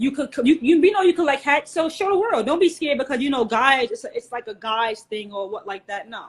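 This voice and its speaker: In a New York accent, a woman talks at a very fast pace with a high pitch and very wide pitch swings. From New York, Queens. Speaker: hat collector and community co-founder. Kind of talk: interview. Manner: casual.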